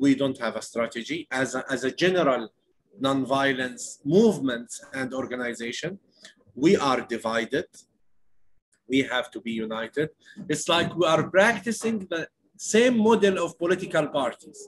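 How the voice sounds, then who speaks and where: With an Arabic accent, a man speaks at a moderate pace and a fairly high pitch, with very wide pitch swings, long, frequent pauses and light background noise. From West Bank, Palestine. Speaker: nonviolence activist. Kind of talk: interview. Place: home room. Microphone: earbuds.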